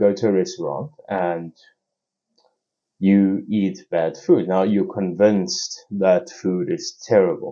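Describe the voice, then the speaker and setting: A man with a non-native accent speaks with a fairly low pitch and very wide pitch swings. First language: not English. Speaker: podcast host. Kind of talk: solo podcast monologue. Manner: halting, many fillers and restarts.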